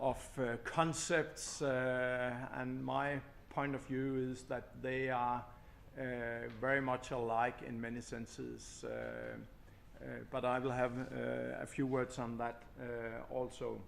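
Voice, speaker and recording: A man speaks at a very slow pace. Room echo is audible around his voice. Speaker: construction company manager. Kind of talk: conference presentation. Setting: conference stage with audience. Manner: loud; halting, many fillers.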